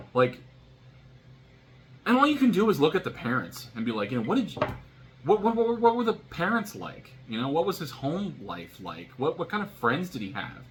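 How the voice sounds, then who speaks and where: A man's high voice with an American accent, at a moderate pace, with very wide pitch swings, long and frequent pauses, and noticeable background noise. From US, military family moving between states. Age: 30s. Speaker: vlogger. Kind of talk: casual monologue vlog. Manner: halting, many fillers and restarts.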